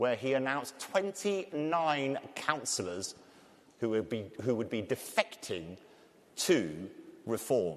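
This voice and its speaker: Moving at a very slow pace, a man with a medium pitch makes very wide pitch swings. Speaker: panel moderator and TV presenter. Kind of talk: panel discussion introduction.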